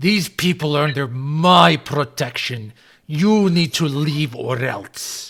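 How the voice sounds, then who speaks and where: A man's growling, put-on character voice, fairly high and fairly slow, on a very clean recording with a silent background. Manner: growling, menacing.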